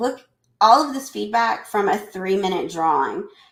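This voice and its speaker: A woman with a Southern US accent speaks at a fairly high pitch with lively intonation. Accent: Southern US twang. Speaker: educator presenting a webinar. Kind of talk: live webinar presentation. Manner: chatty, talkative.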